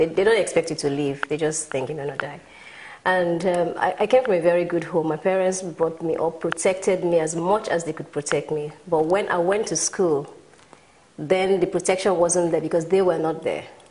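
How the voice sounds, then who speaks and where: A woman with a Nigerian accent talks at a moderate pace in a fairly low pitch with fairly even intonation. Noticeable background noise sits behind her. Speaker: motivational speaker and businesswoman. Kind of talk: talk show interview.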